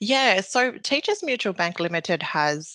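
A woman speaks with a New Zealand accent, her tone bright and sharp and her intonation lively. The sound is dry and close with no echo, over a quiet background. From New Zealand, Maori. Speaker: bank process manager. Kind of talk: interview answers. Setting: remote call.

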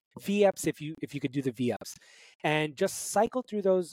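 At a fairly quick pace, a man with an American accent and a plain, everyday voice speaks with ordinary pitch variation in a dry, close sound with no echo. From Brooklyn, New York. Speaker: fitness coach. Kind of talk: interview.

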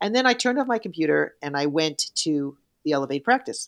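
In a New York accent, a woman speaks with very wide pitch swings, the sound dry and close with no echo and the recording very clean against a silent background. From New York City. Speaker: yoga teacher and author. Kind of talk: casual interview chat. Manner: fast talker.

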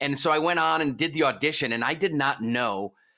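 A man with an American accent, medium pitch, bright and sharp, animated, with lively intonation at a moderate pace, on a very clean recording with a silent background. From US East Coast. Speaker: hype man and entertainer. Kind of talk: interview.

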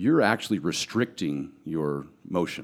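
A man's voice, marked by vocal fry, makes very wide pitch swings on a very clean recording with a silent background. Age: 40s. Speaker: professional bodybuilder and powerlifter. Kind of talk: casual chat. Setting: studio.

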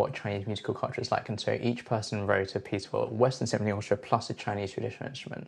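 Against a quiet background, a man with a London accent talks at a fairly low pitch, sounding somewhat breathy. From London, England. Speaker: composer. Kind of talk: interview. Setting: at home. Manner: hesitant, many fillers.

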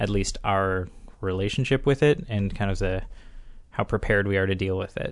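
The speech runs at a very fast pace over a quiet background. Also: man. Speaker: podcast host. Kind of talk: casual podcast chat about movies.

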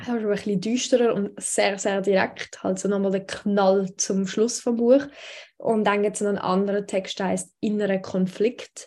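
Monotone, flat intonation from a woman with a dark, mellow tone at a medium pitch, moderate pace, in a very clean recording with a silent background. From Switzerland. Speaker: radio news editor and poetry slam author. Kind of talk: casual interview.

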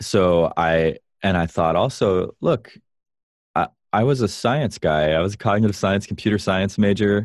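In an American accent, a normal speaking voice with ordinary pitch variation comes through over a quiet background. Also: man, fairly low pitch for a man, moderate pace, very even loudness. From US South, Florida (Vero Beach). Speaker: musician and app founder. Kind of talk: casual interview.

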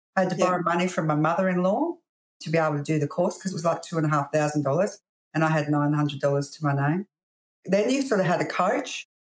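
A woman with an Australian accent talks at a very fast pace with ordinary pitch variation. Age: 50s. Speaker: real estate agency owner. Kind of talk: interview.

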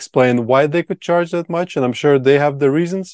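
A man with a Latvian accent and ordinary pitch variation. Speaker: retreat founder. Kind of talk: casual interview chat.

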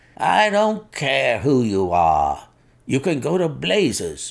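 Bellowing in a put-on character voice, a man speaks at a fairly slow pace with a fairly high pitch. His loudness stays very even throughout. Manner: angry, roaring.

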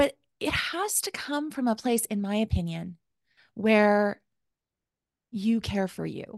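With a western Canadian accent, a woman talks at a very slow pace with long, frequent pauses. The sound is dry and close with no echo, over a quiet background. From Calgary, Alberta, Canada. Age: 40s. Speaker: life coach. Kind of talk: interview.

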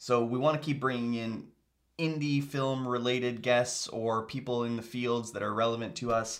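Here a man has an ordinary speaking voice at a medium pitch. He talks at a moderate pace with fairly even intonation. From Canada, Kitchener-Waterloo region. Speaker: podcast host.

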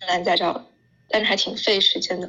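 A woman speaks with fairly even intonation. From China. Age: 20s. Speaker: working holiday traveler. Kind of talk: interview.

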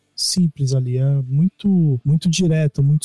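Fairly slow, somewhat breathy speech from a man with a dark, mellow tone and fairly high pitch, dry and close with no echo. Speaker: podcast co-host, music reviewer. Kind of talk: casual chat. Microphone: too far from the microphone, muffled.

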